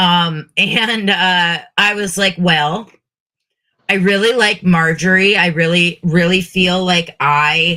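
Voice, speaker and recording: A woman speaks very slowly at a fairly low pitch in a bright, sharp tone. Her intonation is fairly even and her loudness very even. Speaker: podcast co-host and drag persona. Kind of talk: casual chat.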